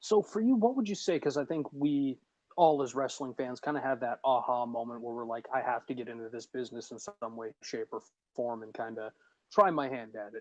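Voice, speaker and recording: A man talks in a normal speaking voice at a medium pitch and fairly quick pace, with ordinary pitch variation and big swings in loudness, in a dry, close sound with no echo. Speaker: ring announcer. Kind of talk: interviewer questions.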